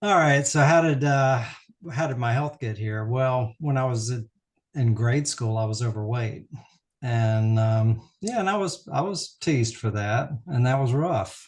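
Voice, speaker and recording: At a fairly slow pace, a somewhat breathy man with an American accent talks at medium pitch with ordinary pitch variation against a quiet background. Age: 60s. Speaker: optometrist. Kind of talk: interview. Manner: halting.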